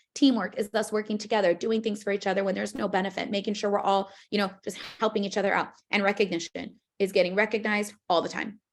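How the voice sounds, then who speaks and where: Very fast speech from a woman at a medium pitch, flat and monotone, in a very clean recording with a silent background. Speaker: financial services business trainer. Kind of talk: training presentation demonstrating a recruiting pitch. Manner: casual, filler-heavy.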